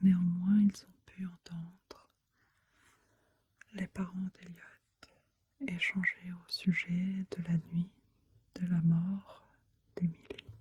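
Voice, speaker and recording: Whispering and soft-spoken, the voice moves at a very slow pace. Long pauses come often. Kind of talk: soft-spoken ASMR true crime narration. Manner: soft-spoken, whispery.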